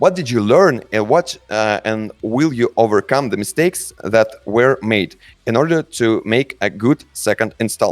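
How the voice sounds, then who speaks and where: With a Russian accent, a man at medium pitch speaks at a fairly slow pace with lively intonation and hardly any pauses. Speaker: game studio community manager. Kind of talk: live Q&A session. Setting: voice call on a chat server. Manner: halting.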